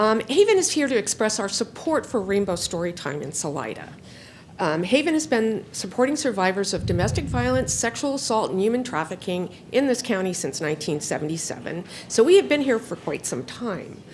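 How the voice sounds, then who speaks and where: Loud and fairly quick, a woman at a medium pitch swings her pitch very widely, with vocal fry in her voice. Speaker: nonprofit donor engagement specialist, public commenter. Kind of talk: public comment at a county board meeting. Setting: county board meeting room.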